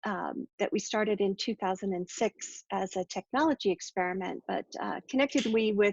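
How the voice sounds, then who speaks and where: A woman's fairly quick speech with vocal fry and ordinary pitch variation. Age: 60s. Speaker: entrepreneur and discussion leader. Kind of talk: group discussion introduction.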